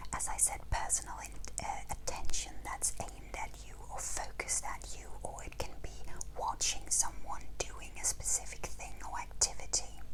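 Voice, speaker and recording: She whispers throughout. Background noise is noticeable behind her. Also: moderate pace. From Denmark. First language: Danish. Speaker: museum and heritage interpreter. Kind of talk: educational talk to camera. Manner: whispered.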